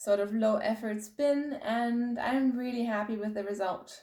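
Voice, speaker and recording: A woman's dark, mellow voice, fairly high in pitch, at a moderate pace. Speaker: knitting podcaster. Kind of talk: casual video podcast chat.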